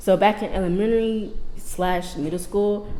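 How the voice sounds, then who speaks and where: A soft-spoken woman with an American accent talks with ordinary pitch variation. There is audible room echo and noticeable background noise. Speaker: podcast host. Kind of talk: casual chat.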